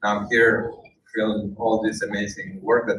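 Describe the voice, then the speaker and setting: With a Spanish accent, a man speaks at a fairly low pitch. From Spain. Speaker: documentary filmmaker and UN worker. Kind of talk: speech to an audience. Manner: halting, many fillers.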